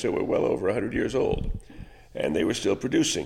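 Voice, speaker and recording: This man talks with an American accent over noticeable background noise. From Northern California. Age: 70s. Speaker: vineyard owner and winemaker. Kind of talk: interview. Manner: halting, many fillers and repetitions.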